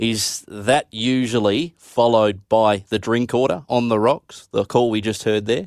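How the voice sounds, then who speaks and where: A man's medium-pitched voice, fairly slow with hardly any pauses, fairly even intonation and a dry, close sound with no echo. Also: very clean recording, silent background. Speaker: radio host. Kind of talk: radio show presenting. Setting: studio.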